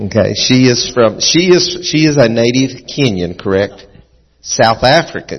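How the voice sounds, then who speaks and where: A man's plain, everyday voice at a medium pitch and a moderate pace. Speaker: pastor. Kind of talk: sermon. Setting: church.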